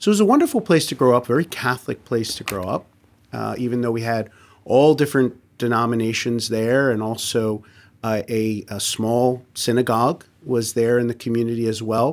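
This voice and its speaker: Speaking at a fairly quick pace with an American accent, a man uses a medium pitch and fairly even intonation in a very clean recording with a silent background. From New Jersey, US. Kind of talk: radio interview. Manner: halting, repeats words.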